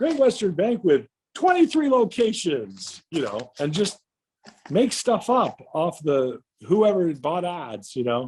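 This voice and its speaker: Very wide pitch swings mark this very slow delivery in an American accent. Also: man, high pitch for a man. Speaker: stadium announcer. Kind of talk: casual guest talk telling career anecdotes.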